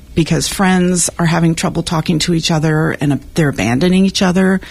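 Against noticeable background noise, a woman speaks in a fairly low pitch with ordinary pitch variation. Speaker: civic dialogue volunteer. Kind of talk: radio interview. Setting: studio.

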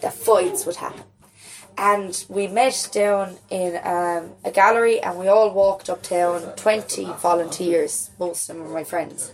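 The speaker talks in a Waterford Irish accent. Pitch variation is ordinary. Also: woman. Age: 20s. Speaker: playwright. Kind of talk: casual chat.

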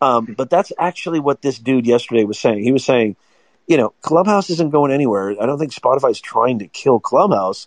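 Against a quiet background, dry and close with no echo, a man speaks fairly quickly at medium pitch with lively intonation. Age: 40s. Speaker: marketing professor. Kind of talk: casual chat. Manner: animated.

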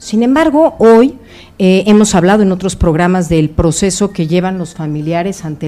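A woman speaks with an ordinary speaking voice at a medium pitch. Her pitch varies in an ordinary way. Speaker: psychologist (doctor). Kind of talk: expert talk on radio.

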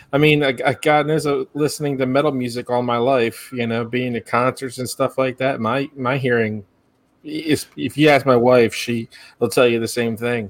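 At medium pitch and a moderate pace, a man talks in an ordinary speaking voice with fairly even intonation. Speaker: podcast host. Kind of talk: casual chat.

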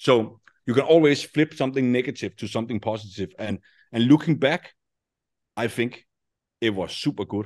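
A man with a Danish accent at a fairly quick pace with ordinary pitch variation. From Denmark. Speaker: affiliate marketing entrepreneur. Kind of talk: interview. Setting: remote call.

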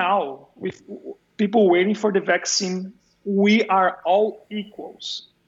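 A man with a Brazilian accent and a high pitch. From Brazil, São Paulo. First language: Portuguese. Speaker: video game composer and sound designer. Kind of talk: casual interview chat. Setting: remote call.

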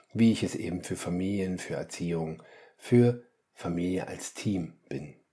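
In a very clean recording with a silent background, a man speaks at a fairly slow pace in a very deep, low pitch, with ordinary pitch variation and a dark, mellow tone. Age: 50s. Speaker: family coach and podcast host. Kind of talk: solo podcast monologue. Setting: home, attic apartment. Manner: animated.

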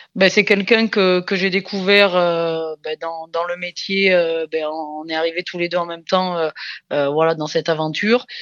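The speech moves at a fairly slow pace with hardly any pauses and fairly even intonation. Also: woman, fairly low pitch for a woman. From France, Dordogne (southwest). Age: 30s. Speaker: rugby coach, former international player. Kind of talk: interview. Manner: halting, many repetitions and fillers.

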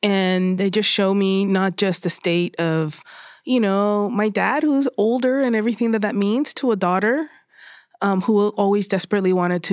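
In a very clean recording with a silent background, a woman talks at a moderate pace. She has a medium pitch, ordinary pitch variation and a plain, everyday voice. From Puerto Rico, then San Fernando Valley, California. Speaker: documentary photographer. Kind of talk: interview conversation.

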